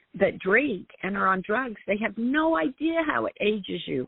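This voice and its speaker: A woman with an American accent, medium pitch and very wide pitch swings. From Utah, US. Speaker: wellness coach. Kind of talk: interview.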